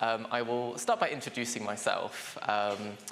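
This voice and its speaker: A man's medium-pitched voice with a London accent and fairly even intonation, plus audible room echo and noticeable background noise. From London, England. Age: 20s. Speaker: social worker and lecturer. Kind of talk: conference workshop presentation. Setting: conference room with audience. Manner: hesitant, many fillers.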